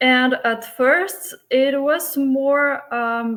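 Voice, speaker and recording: This woman speaks with a Bulgarian accent. Her pitch varies in an ordinary way. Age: 30s. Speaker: flight attendant, coaching client. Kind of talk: testimonial interview.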